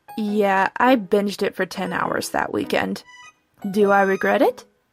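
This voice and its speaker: A woman talks at a moderate pace while music sounds behind her. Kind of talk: casual vlog talk.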